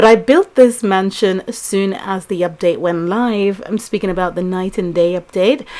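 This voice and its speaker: A woman talks quietly at a moderate pace. Her voice is medium-pitched, with ordinary pitch variation. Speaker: mobile game let's play youtuber. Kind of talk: gameplay commentary. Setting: at home, early morning. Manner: subdued, quiet.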